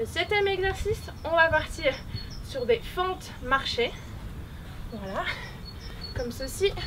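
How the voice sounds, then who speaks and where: A woman's extremely high voice at a fairly slow pace over light background noise. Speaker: fitness coach. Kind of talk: workout tutorial instructions. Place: open country.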